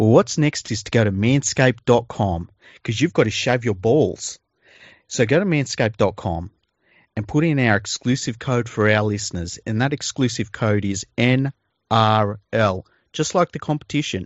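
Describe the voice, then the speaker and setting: At a moderate pace, a man with a medium pitch talks in an Australian accent. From Western Sydney, Australia. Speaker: podcast host. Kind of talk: casual comedic chat. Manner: joking, deadpan.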